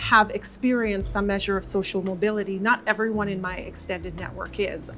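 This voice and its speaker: A woman's voice with music in the background. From Jamaica. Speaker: corporate employee. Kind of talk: panel discussion.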